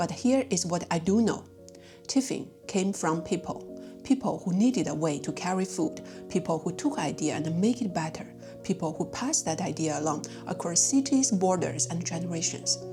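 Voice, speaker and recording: The speaker has a non-native accent and very wide pitch swings. The pace is moderate, with music in the background. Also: woman, fairly low pitch for a woman. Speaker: food and culture video host. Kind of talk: documentary-style narration.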